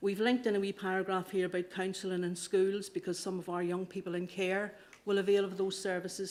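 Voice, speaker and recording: A woman with a slight Irish accent talks at a very fast pace. Her medium-pitched voice has monotone, flat intonation. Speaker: council officer. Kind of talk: committee report presentation. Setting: council committee meeting. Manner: halting, with fillers and repetitions.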